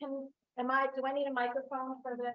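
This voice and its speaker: A woman speaks loudly at a high pitch. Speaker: law professor, moderator. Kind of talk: Q&A moderation. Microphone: no microphone.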